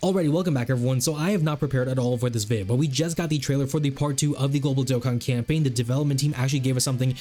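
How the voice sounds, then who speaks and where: A man's medium-pitched voice, very fast with hardly any pauses and very even loudness, over noticeable background noise. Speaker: gaming YouTuber. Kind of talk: video game commentary. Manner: animated.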